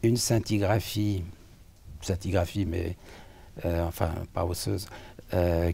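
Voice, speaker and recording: A man speaks with a very deep, low pitch and a dark, mellow tone. His voice is somewhat breathy. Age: 70s. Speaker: patient with cardiac amyloidosis. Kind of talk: interview testimony. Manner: halting, many hesitations.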